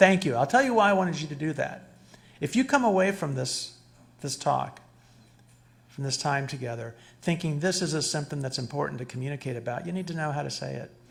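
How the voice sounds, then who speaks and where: A man speaks at a fairly quick pace in a fairly high pitch, his voice somewhat breathy. There is audible echo from the room. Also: ordinary pitch variation. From Cuba. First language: Spanish. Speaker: psychologist lecturer. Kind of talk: lecture. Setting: stage with audience. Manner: animated, interactive. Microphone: too far from the mic at first.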